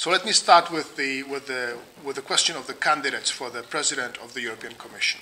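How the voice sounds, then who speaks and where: With noticeable background noise behind him, a man speaks at a fairly quick pace in a fairly high pitch, his pitch varying in an ordinary way. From Czech Republic. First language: Czech. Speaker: think tank researcher. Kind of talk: lecture. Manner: halting, many fillers.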